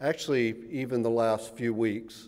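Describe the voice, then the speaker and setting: A man with a Southern US accent speaks at medium pitch in a dark, mellow tone. Audible room echo surrounds his voice. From US South. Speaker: professor. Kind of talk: lecture. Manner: halting, many fillers and repeats.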